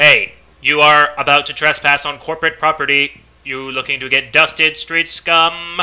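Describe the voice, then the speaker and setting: A man's put-on, robotic character voice, fairly high in pitch, with monotone, flat intonation at a moderate pace. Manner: menacing, threatening.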